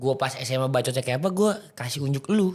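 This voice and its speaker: Fairly high-pitched and somewhat breathy, a man talks at a fairly quick pace with a Jakarta accent. His pitch swings very widely. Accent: Betawi. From Jakarta, Indonesia (Betawi). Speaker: podcast host. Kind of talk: casual chat.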